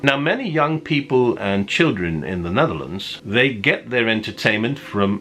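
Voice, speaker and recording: With music playing in the background, a man of medium pitch speaks at a fairly slow pace, his pitch rising and falling in very wide swings. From Netherlands. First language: Dutch. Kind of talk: casual talk to camera.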